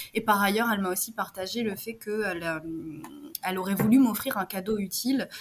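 This woman has an ordinary speaking voice, medium in pitch, and talks at a fairly quick pace. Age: 30s. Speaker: entrepreneur. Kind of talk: interview.

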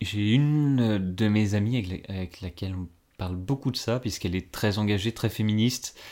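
Against a very clean, silent background, a man talks at a moderate pace in a fairly low pitch with a dark, mellow tone and ordinary pitch variation. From northeastern France, Ardennes. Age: 20s. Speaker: civil servant. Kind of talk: casual interview. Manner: halting.

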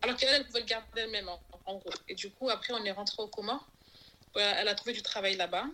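A woman speaks at a very fast pace with ordinary pitch variation. Her tone is bright and sharp. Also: fairly high pitch for a woman. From Comoros. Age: 30s. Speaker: podcast guest sharing life story. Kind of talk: testimony interview. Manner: halting.

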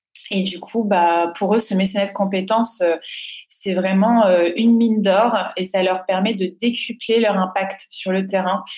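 At a fairly slow pace, a woman speaks in a monotone with flat intonation at a medium pitch. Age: 30s. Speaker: foundation director. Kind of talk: interview.

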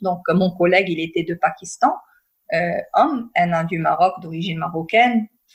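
Somewhat breathy, the woman's voice holds a medium pitch. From northern Morocco. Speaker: peace and conflict resolution consultant. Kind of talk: interview.

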